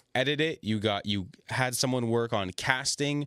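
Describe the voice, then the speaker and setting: With an unremarkable speaking voice of medium pitch, a man talks at a fairly slow pace. The sound is dry and close, with no echo. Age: 20s. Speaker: podcast host. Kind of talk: casual chat.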